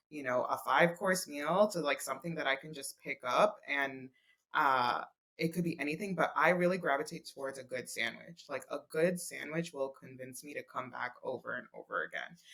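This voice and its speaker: A woman with a New York accent, very deep and low in pitch, bright and sharp in tone, with big swings in loudness. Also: ordinary pitch variation, moderate pace. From Brooklyn, New York. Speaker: food blogger. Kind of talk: podcast interview answer.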